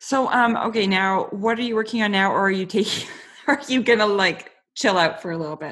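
A woman speaks at a medium pitch with ordinary pitch variation. Her pace is fairly quick. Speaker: podcast host. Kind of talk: casual interview. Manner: relaxed.

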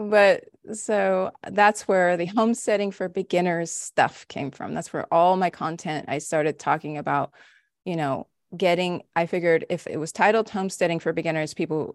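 An American woman with an unremarkable speaking voice talks at a moderate pace and fairly low pitch, with ordinary pitch variation. The sound is dry and close with no echo, and the background is quiet. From Los Angeles, California. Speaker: homestead mentor and podcast host. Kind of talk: casual interview chat.

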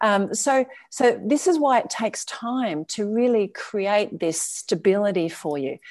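Lively intonation and a fairly slow pace, with an Australian accent. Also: woman. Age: 50s. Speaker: travel lifestyle coach. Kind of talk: interview.

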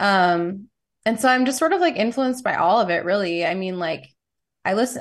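This woman has a normal speaking voice, medium in pitch with ordinary pitch variation. She talks at a fairly quick pace over a quiet background. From New York City. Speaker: musician. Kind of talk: casual chat.

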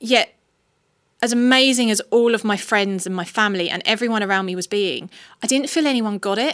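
On a very clean recording with a silent background, a woman speaks with an unremarkable speaking voice. Her pitch is fairly high with ordinary variation, and her pace is fairly quick. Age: 40s. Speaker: charity ambassador and widow. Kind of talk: personal testimony in interview.

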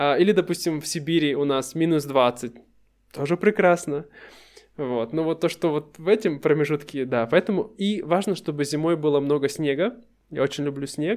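Moderate speed and normal pitch movement from a man with a fairly high voice. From Russia. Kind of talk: casual chat.

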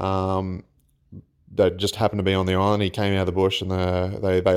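Speaking at a fairly quick pace with an Australian accent, a man uses a fairly low pitch and a flat, monotone delivery, recorded very cleanly against a silent background. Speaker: listener sharing ghost stories. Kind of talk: recorded personal story. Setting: self-recorded voice memo. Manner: halting.

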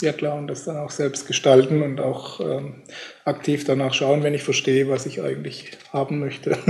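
At a moderate pace, a man speaks with a fairly high pitch and flat, monotone intonation. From Germany. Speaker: podcast host. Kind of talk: interview.

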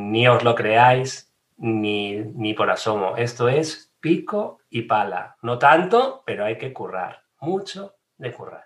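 A man talks at a very slow pace and medium pitch. His intonation is lively, with big swings in loudness. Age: 40s. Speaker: digital marketing trainer. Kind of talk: casual interview.

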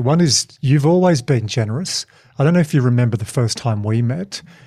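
Speaking with an Australian accent, a man uses a dark, mellow, somewhat breathy tone, lively intonation and a fairly quick pace. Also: very clean recording, silent background. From Tasmania, Australia. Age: 40s. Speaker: podcast host and keynote speaker. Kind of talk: casual interview chat.

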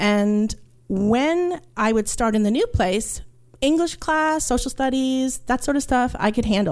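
A woman is speaking. Her pitch swings very widely. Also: very clean recording, silent background. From New York, Puerto Rican family. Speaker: archaeologist. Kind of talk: storytelling. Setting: stage with audience.

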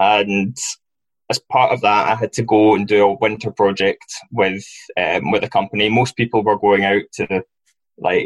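A man speaks with a Glaswegian accent at a fairly low pitch. The sound is dry and close, with no echo. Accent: Glaswegian Scottish. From Scotland, Glasgow. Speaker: football recruitment analyst. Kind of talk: interview.

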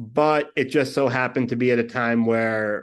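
Someone speaks in a New York accent against a quiet background. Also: man. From New York (Brooklyn). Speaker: podcast producer and host. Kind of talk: casual chat.

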